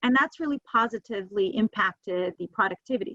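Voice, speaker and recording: A woman talks at a fairly quick pace with a New Jersey accent. The sound is dry and close, with no echo. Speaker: webinar speaker on hiring. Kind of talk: webinar presentation. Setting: video call from home office. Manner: fast.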